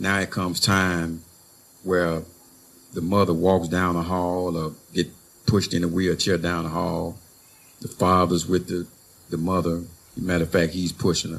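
At a moderate pace, a man with a very deep, low pitch speaks in a monotone, flat intonation with long, frequent pauses. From Louisiana. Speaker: formerly incarcerated community organizer. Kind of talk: panel discussion. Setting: stage with audience. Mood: emotional, earnest. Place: garden. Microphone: handheld.

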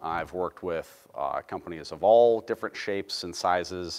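At a moderate pace, a man talks with a very deep, low pitch and ordinary pitch variation. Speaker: presenter. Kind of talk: lecture. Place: hall.

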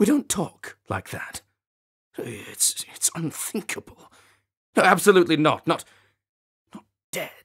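Using a put-on character voice, a man sounds raspy and high-pitched, moving at a fairly slow pace with long, frequent pauses. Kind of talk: video game audition read. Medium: voice reel. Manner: fretful, pleading.

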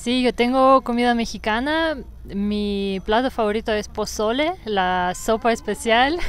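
A woman's fairly high voice with a Russian accent. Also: ordinary pitch variation, fairly slow pace, dry sound with no echo. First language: Russian (speaking Spanish). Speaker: yoga teacher. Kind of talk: casual interview. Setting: outdoors in a park. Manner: fluent. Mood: calm, relaxed. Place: forest. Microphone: lapel.

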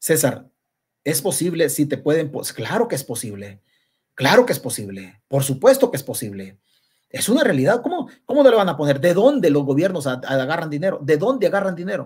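A man with a Salvadoran accent talks at a fairly quick pace in a fairly high voice, animated and with vocal fry, his pitch swinging very widely. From El Salvador. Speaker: political commentator. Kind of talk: live-stream political commentary. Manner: halting.

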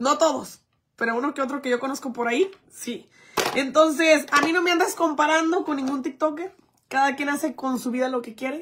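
Noticeable background noise sits behind a woman with a high pitch. She speaks at a fairly quick pace in an animated tone with ordinary pitch variation. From Mexico, Jalisco. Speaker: influencer; livestreamer. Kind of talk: livestream chat. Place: home room. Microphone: phone near.

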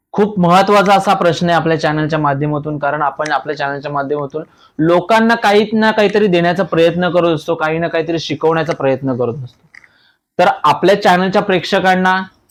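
A man with a high pitch and ordinary pitch variation is heard in a very clean recording with a silent background. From Thane, Maharashtra, India. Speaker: YouTube interviewer. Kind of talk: casual interview. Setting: on location.

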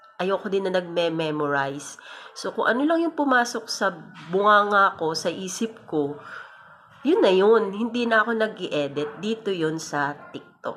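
A woman with a medium-pitched voice speaks at a fairly slow pace, her pitch swinging very widely, with noticeable background noise behind her. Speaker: content creator. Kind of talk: casual vlog monologue. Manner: breathy, sounds out of breath while talking; unscripted, spontaneous.

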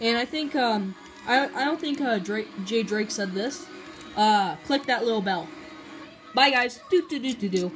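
The speech moves at a fairly slow pace with long, frequent pauses while music plays clearly in the background. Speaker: young vlogger. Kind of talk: casual vlog chat. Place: home room. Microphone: phone near.

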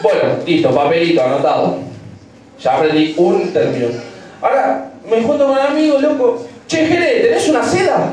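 A man's voice holds very even loudness in a room with strong echo and light background noise. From Argentina. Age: 20s. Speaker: stand-up comedian. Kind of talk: stand-up comedy, crude and rapid-fire, peppered with slang and swearing. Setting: stage with audience, piano bar. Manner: irreverent, joking with the crowd, dramatized bits. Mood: playful, joking. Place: bar.

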